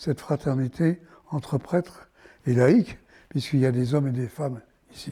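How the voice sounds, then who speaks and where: A man speaks at a fairly slow pace in a somewhat breathy, fairly high voice with ordinary pitch variation, recorded very cleanly against a silent background. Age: 80s+. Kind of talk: interview answer.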